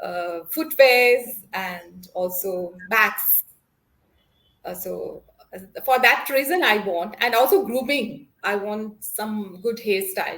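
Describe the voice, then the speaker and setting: A woman speaks at a very slow pace in a fairly high pitch. Her intonation is lively, and her loudness swings widely. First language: Konkani. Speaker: English learner. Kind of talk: one-on-one spoken English lesson. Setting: video call. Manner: halting, many fillers.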